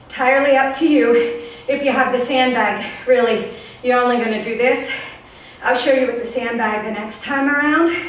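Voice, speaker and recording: In a room with audible echo, a woman talks at a moderate pace and high pitch with fairly even intonation. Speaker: fitness instructor. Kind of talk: workout instruction. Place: home room. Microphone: camera far.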